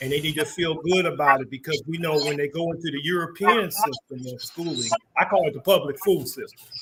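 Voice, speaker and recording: A man with an ordinary speaking voice talks at a fairly quick pace and a fairly high pitch. His pitch varies in an ordinary way while his loudness swings widely. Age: 60s. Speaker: community organizer and market founder. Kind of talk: interview.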